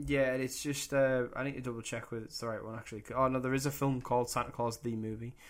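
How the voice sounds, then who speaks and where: A man speaks at a medium pitch in a monotone, flat intonation, very fast and with hardly any pauses. The recording is very clean, with a silent background. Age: 20s. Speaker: podcast co-host. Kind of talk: casual chat. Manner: laid-back, joking.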